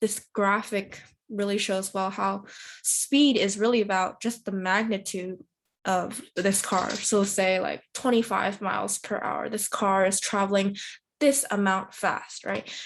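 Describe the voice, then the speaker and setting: Against a quiet background, a woman speaks fairly slowly with fairly even intonation. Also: medium pitch for a woman. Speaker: volunteer teacher. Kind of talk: recorded lesson. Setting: pre-recorded video. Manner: halting, many fillers.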